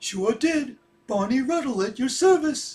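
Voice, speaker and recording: A man uses a put-on character voice with an extremely high pitch. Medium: audio drama. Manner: cheerful, agreeable.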